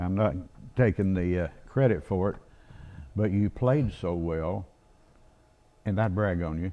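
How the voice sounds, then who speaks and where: Pitched very deep and low with a dark, mellow tone, a man speaks at a fairly slow pace with ordinary pitch variation and long, frequent pauses. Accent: Arkansas. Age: 80s+. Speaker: retired band director and drummer. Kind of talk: casual chat.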